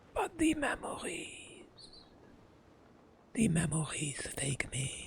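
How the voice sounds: Over light background noise, a man does a raspy put-on character voice at a fairly slow pace.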